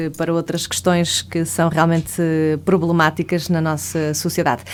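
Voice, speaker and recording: Her intonation monotone and flat, a woman speaks at a fairly low pitch. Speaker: radio host and psychologist. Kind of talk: radio talk show hosting.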